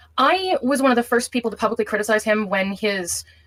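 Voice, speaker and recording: A woman of medium pitch talks at a very fast pace with ordinary pitch variation over noticeable background noise. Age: 20s. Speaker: caller in a live-stream call. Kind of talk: recounting a personal dispute on a call.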